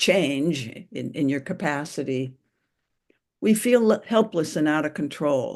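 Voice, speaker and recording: A woman's very deep, low voice at a fairly slow pace, against a quiet background. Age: 80s+. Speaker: therapist and group leader. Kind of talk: group discussion facilitation.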